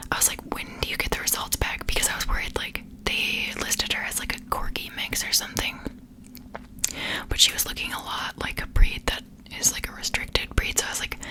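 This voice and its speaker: A woman whispers at a fairly quick pace. Background noise is noticeable. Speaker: ASMR creator. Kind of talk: ASMR whisper ramble, casual talk to camera. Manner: whispered, soft-spoken.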